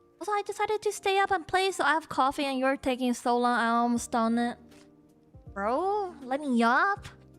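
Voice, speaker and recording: Over music in the background, a woman with a high voice speaks at a moderate pace, her loudness very even while her pitch swings very widely. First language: Chinese. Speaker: VTuber streamer. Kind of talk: casual live-stream talk to chat.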